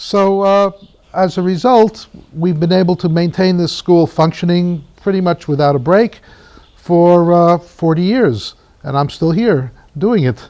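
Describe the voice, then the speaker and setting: A man's high-pitched voice in an American accent, with very even loudness, ordinary pitch variation and noticeable background noise. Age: 60s. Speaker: poet and teacher at an art school. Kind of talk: documentary interview. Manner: halting, with frequent fillers.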